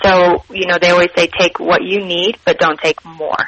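In an American accent, a woman speaks with monotone, flat intonation against noticeable background noise. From Utah. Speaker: cookbook author. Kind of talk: interview.

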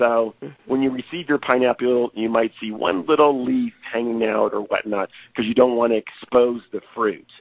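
With a plain, everyday voice, a man speaks at a moderate pace and medium pitch, his intonation fairly even. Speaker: produce company representative. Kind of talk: casual interview.

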